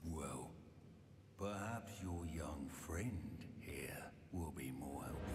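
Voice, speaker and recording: Over loud background noise and a slight echo, a man in a put-on character voice speaks at a very slow pace with a very deep, low pitch and long, frequent pauses. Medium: video game. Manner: menacing.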